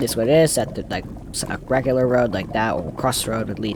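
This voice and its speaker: A man at a fairly quick pace and medium pitch, with noticeable background noise. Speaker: Minecraft YouTuber. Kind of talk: gameplay tutorial commentary. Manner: fast; halting, self-correcting.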